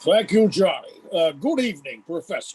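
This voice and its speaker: Putting on a character voice, a man speaks at a moderate pace in a high pitch. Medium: audio drama.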